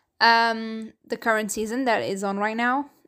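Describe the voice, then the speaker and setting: In a Portuguese accent, a woman speaks fairly slowly with monotone, flat intonation at a fairly high pitch. Her tone is bright and sharp, on a very clean recording with a silent background. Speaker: podcast host. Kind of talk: solo podcast monologue. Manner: casual, hesitant with many fillers.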